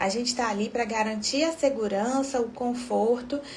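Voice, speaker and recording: A soft-spoken woman talks with a Brazilian accent at a high pitch. Her pace is fairly slow. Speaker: obstetrician. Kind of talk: live stream talk.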